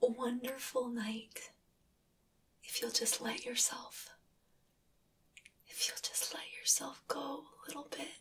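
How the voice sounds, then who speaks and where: Whispering at a very slow pace, a soft-spoken woman leaves long, frequent pauses, with big swings in loudness. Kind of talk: roleplay monologue to the viewer. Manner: soft, tender, coaxing near-whisper.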